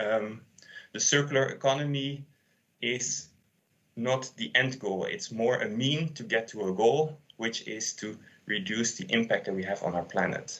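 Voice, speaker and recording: A man's voice, a normal speaking voice, pitched in the medium range, moderate in pace, with ordinary pitch variation. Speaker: sustainability consultant. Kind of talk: conference talk.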